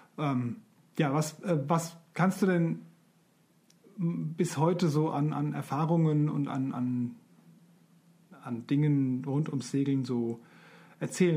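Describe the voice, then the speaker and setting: A fairly high-pitched male voice, somewhat breathy, with a dark, mellow tone and ordinary pitch variation. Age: 40s. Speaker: podcast co-host, self-employed sign maker. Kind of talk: casual chat. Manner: hesitant, many fillers.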